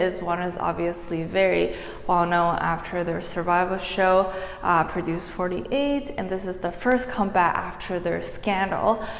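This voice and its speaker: A soft-spoken woman talks with ordinary pitch variation amid audible room echo and noticeable background noise. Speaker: dance tutorial creator. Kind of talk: tutorial.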